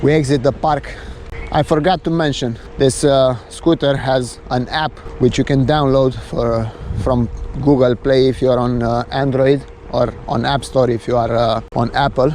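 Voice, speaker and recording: Over noticeable background noise, a man speaks at a fairly slow pace. His pitch is medium and his intonation fairly even. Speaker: vlogger reviewing an e-scooter. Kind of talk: POV ride review commentary. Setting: outdoors riding a scooter. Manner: frequent filler hesitations.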